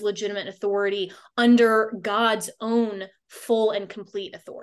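A woman speaks in a monotone, flat intonation at a moderate pace and a fairly high pitch. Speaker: radio host. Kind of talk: radio talk show.

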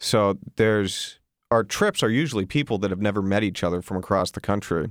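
A man speaks at a moderate pace in an ordinary speaking voice of fairly low pitch. The recording is very clean, with a silent background. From Texas, raised in Colorado. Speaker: missionary. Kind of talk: radio interview. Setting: studio.

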